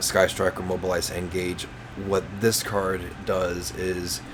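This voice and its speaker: A man speaks with a very deep, low pitch. The recording carries audible room echo and noticeable background noise. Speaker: gaming youtuber. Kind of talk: tutorial. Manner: halting, many fillers and repeats.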